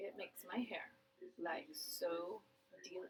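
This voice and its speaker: The speaker mumbles and is soft-spoken. Pitch varies in an ordinary way. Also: woman. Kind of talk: casual talk to camera. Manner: mumbling, soft-spoken.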